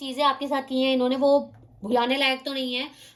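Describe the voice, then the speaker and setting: Noticeable background noise surrounds a woman whose voice sits high in pitch. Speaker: tarot card reader. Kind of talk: tarot reading to camera. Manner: fast.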